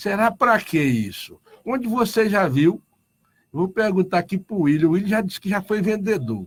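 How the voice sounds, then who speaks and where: Ordinary pitch variation marks a man's voice, set at a high pitch. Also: moderate pace. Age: 60s. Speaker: union leader. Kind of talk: radio interview.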